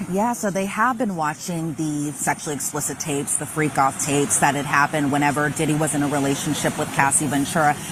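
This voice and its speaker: Talking very fast with hardly any pauses, a woman with a very deep, low voice uses ordinary pitch variation over noticeable background noise. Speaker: court reporter. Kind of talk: news report.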